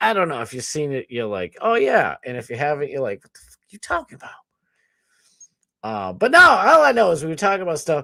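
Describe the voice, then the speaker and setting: Delivered at a very fast pace with big swings in loudness, the voice has a Boston accent in a dry, close, very clean recording with a silent background and no echo. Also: man. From US Northeast. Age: 30s. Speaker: streamer and podcast host. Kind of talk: casual livestream chat. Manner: rambling, scattered.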